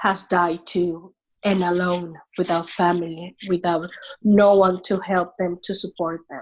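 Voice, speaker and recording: A woman at medium pitch with a Venezuelan accent, at a very slow pace. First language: Spanish. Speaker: immigrant sharing faith story. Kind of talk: podcast interview. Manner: halting.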